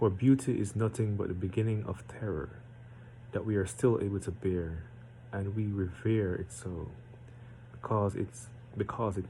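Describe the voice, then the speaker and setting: A man talks with a fairly low pitch and ordinary pitch variation. His voice is somewhat breathy, with a dark, mellow tone. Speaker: amateur poetry reader. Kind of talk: reading aloud; casual chat. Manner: deliberately slowed.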